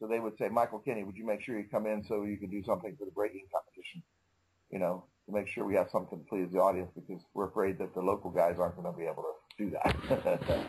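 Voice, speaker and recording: Somewhat breathy and fairly low-pitched, a man rattles along at a very fast pace. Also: ordinary pitch variation. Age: 60s. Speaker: karate master. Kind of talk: interview. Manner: casual, conversational.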